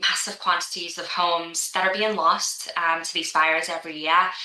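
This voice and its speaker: A woman at a moderate pace and fairly low pitch, with audible room echo and noticeable background noise. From Liverpool, England. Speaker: insurance executive. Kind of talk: podcast interview. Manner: hesitant, many fillers.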